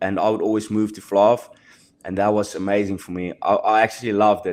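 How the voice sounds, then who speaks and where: Talking at a very fast pace, a man with a South African accent has fairly low pitch. His intonation is monotone and flat, and the background is quiet. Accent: South African Afrikaans. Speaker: professional rugby player. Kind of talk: podcast interview. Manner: halting.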